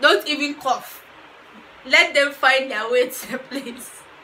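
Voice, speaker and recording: A woman uses a raised, projected voice at a fairly slow pace. Light background noise can be heard. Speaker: vlogger. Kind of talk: casual advice vlog.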